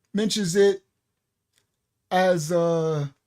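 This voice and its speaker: In a New York accent, a man talks. His pitch is high. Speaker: bible study teacher. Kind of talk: bible study lecture. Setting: live stream.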